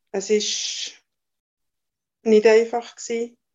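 A woman speaking at a fairly slow pace. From Valais, Switzerland. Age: 60s. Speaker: mother of the host, telling her birth stories. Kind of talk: personal testimony. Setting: video call.

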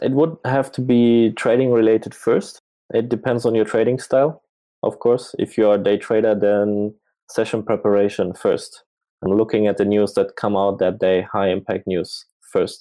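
With a German accent, a man speaks in fairly even intonation. His loudness stays very even. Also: medium pitch for a man, moderate pace. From Germany. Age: 30s. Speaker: full-time trader. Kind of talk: casual interview. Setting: livestream.

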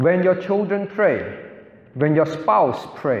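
The speech comes at a very slow pace. Noticeable background noise can be heard. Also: man. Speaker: pastor teaching a Bible class. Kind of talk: lecture. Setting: church class with audience. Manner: instructional, asks audience questions.

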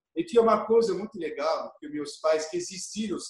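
A man talks at a moderate pace. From France, Burgundy (Dijon area). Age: 50s. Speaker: chef. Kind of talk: interview, personal storytelling. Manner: halting, repeats words.

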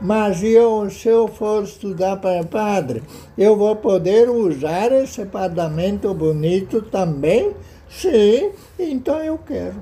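Speaking very slowly, a man with a high pitch and a dark, mellow tone uses lively intonation. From southern Brazil, Rio Grande do Sul. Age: 80s+. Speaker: local historian. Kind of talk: interview. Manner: halting.

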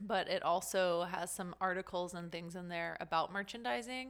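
Using a normal speaking voice, a woman with an American accent talks at a moderate pace, her fairly low pitch holding a fairly even intonation. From Las Vegas, US. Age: 30s. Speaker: retail consultant and event organizer. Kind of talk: casual interview.

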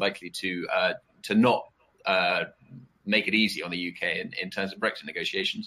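A man with a British accent at a moderate pace. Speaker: political risk analyst. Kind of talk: panel discussion. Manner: halting, many fillers and repetitions.

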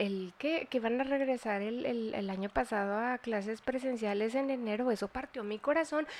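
A woman with a Mexican accent talks at a moderate pace, her fairly high pitch showing ordinary variation. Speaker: nutritionist podcast host. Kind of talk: casual chat.

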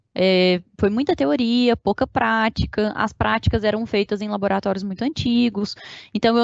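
With ordinary pitch variation, an unremarkable speaking voice keeps to a moderate pace. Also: woman. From Minas Gerais, Brazil (Uberlândia). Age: 20s. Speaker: engineering project control manager. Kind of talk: interview.

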